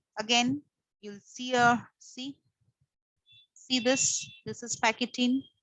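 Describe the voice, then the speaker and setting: A woman with a high pitch and a bright, sharp tone speaks at a very slow pace. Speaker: teacher. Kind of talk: lecture.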